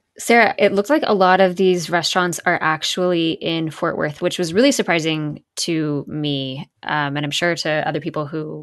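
A woman talks in a normal speaking voice, fairly low in pitch, at a moderate pace. Her pitch varies in an ordinary way over a quiet background. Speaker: food reporter. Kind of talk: casual chat.

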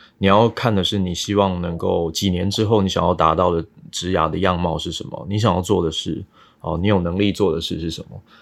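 A man speaks with a very deep, low pitch. The recording is very clean and the background silent. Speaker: data analytics director. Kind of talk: casual interview.

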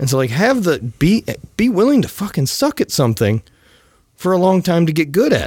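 A man with a high pitch speaks in very wide pitch swings. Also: fairly quick pace. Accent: Southern US. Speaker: podcast host and apparel entrepreneur. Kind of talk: casual interview.

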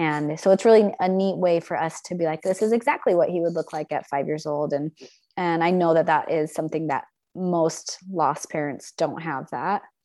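Against a quiet background, a woman with an American accent speaks at a moderate pace in a fairly low pitch, her dark, mellow tone carrying fairly even intonation. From Logan, Utah, US. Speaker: author and bereaved mother. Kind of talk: interview.

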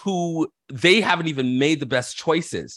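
This man has a normal speaking voice with fairly high pitch, lively intonation and a moderate pace. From Canada, Toronto. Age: 40s. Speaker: minister. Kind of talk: casual interview.

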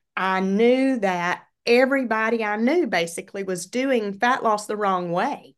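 A woman speaks fairly slowly in a normal speaking voice, fairly high in pitch with ordinary variation, against a quiet background. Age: 50s. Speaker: retired educator, fitness coach. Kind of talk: casual interview chat.

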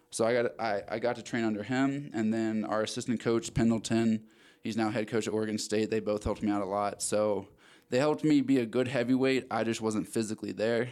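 A plain, everyday voice from a man with an American accent, medium pitch and fairly even intonation at a fairly quick pace, on a very clean recording with a silent background. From Maryland. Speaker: rugby player. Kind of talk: casual interview. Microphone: new microphones.

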